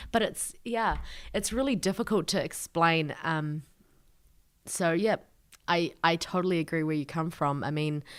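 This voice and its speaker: A woman speaks with a New Zealand accent at a moderate pace, her pitch fairly low with ordinary variation. Long, frequent pauses break up the very clean recording over a silent background. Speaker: lawyer and refugee advocate. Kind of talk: podcast interview.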